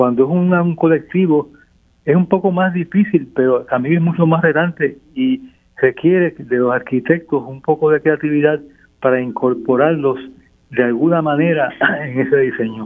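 A man talks at a moderate pace in an unremarkable speaking voice. His pitch is fairly high, with ordinary pitch variation. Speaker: architect. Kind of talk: radio interview.

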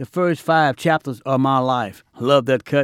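A normal speaking voice at a moderate pace with fairly even intonation, in a very clean recording with a silent background. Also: man. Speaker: jazz podcast DJ. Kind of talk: radio DJ patter between jazz tracks, slogan-heavy back-announcing. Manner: smooth, showman-like hype with catchphrases like no brag, just fact; warm, intimate sign-offs addressing listeners as friends.

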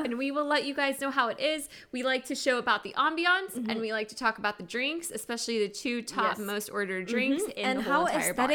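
A woman talks in a raised, projected voice at a very fast pace, with a high pitch, a bright, sharp tone, lively intonation and hardly any pauses. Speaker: podcast co-host. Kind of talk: casual, chatty.

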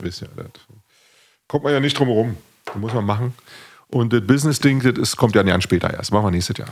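Lively intonation marks this man's medium-pitched voice. He speaks at a very fast pace. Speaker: podcast host and musician. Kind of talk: casual chat.

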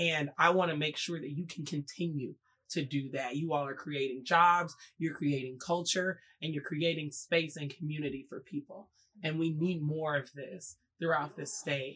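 Someone with an American accent speaks at a moderate pace with fairly even intonation. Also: woman, very deep, low pitch for a woman. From Mississippi, Jackson; teen years in Oklahoma. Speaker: political candidate. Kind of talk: interview conversation.

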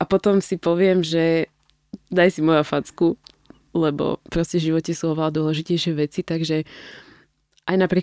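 At a moderate pace, a woman with a very deep, low, dark and mellow voice speaks in a monotone, flat delivery, the sound dry and close with no echo. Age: 30s. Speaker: fitness athlete and new mother. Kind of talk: interview.

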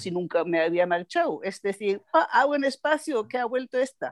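A woman speaks with a German accent and lively intonation. The sound is dry and close with no echo, over a quiet background. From Germany, Bavaria (Nuremberg). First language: German (speaking Spanish). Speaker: translator and export business consultant. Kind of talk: casual interview.

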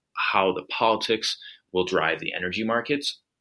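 A man with an American accent at a fairly quick pace, bright and sharp in tone, on a very clean recording with a silent background. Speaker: energy trading analyst. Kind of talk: interview.

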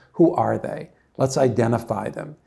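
Speaking with an American accent, a man uses a medium pitch, a dark, mellow tone and ordinary pitch variation. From New Jersey. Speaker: company founder and meteorologist. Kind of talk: interview. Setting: studio. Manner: halting, many fillers.

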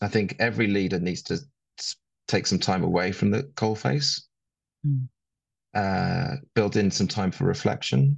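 Against a quiet background, a man with a fairly low pitch talks at a fairly slow pace with lively intonation and long, frequent pauses. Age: 50s. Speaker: sustainability consultant. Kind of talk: interview conversation.

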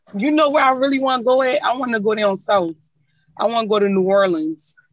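A woman with an American accent, a plain, everyday voice, lively intonation and a moderate pace. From Philadelphia. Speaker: independent rapper. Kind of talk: casual chat. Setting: video call from a moving truck.

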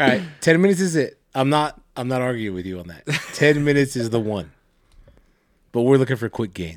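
Loud and fairly quick, a man speaks with very wide pitch swings and long, frequent pauses. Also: medium pitch for a man. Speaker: podcast co-host. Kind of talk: casual chat.

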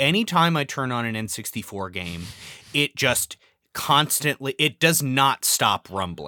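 In an American accent, a man speaks with a bright, sharp tone, vocal fry and very wide pitch swings. The recording is very clean, with a silent background. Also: medium pitch for a man, fairly slow pace. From Southern California. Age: 30s. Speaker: podcast guest. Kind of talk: casual chat. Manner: halting.

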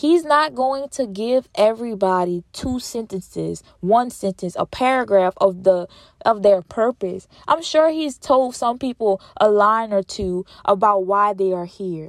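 Fairly high-pitched female voice, animated in tone with lively intonation, at a fairly slow pace, dry and close with no echo on a very clean recording with a silent background. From Louisiana. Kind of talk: faith-based motivational monologue. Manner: repetitive, emphatic.

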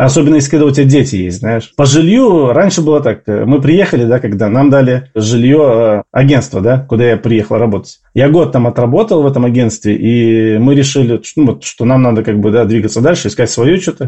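At a fairly quick pace, a man speaks with a medium pitch, ordinary pitch variation and very even loudness. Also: hardly any pauses. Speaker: emigrant interviewee. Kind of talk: interview. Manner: halting.

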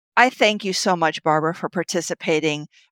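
In a very clean recording with a silent background and a dry, close sound with no echo, a woman with a plain, everyday voice speaks at a fairly low pitch with fairly even intonation. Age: 50s. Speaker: podcast host. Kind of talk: interview.

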